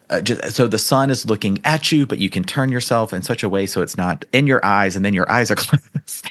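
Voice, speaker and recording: A man talks at a fairly quick pace with hardly any pauses, in a plain, everyday voice. His pitch is medium, with ordinary pitch variation. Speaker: flirt and dating coach. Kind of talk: casual podcast conversation.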